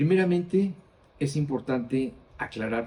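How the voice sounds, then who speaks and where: Speaking very slowly, a man with a dark, mellow tone sounds somewhat breathy, and his pitch moves in an ordinary way. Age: 60s. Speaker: Bible teacher. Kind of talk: Bible study teaching.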